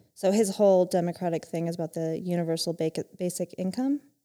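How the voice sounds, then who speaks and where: Talking at a fairly quick pace, a woman has a medium pitch and a dark, mellow tone, with an American accent. The sound is dry and close with no echo. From Utah. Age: 30s. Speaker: mother. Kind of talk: casual chat.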